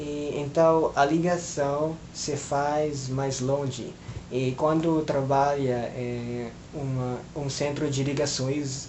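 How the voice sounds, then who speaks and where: Through noticeable background noise and audible room echo, a man speaks at a very slow pace with monotone, flat intonation. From Philippines. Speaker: language learner vlogger. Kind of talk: casual monologue vlog. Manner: hesitant, many filler sounds.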